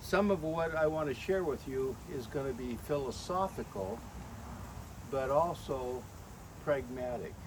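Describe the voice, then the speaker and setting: With a fairly high pitch and ordinary pitch variation, a man speaks at a fairly slow pace with long, frequent pauses and audible room echo. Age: 80s+. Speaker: birthday celebrant. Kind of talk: birthday speech. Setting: family gathering with audience. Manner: formal.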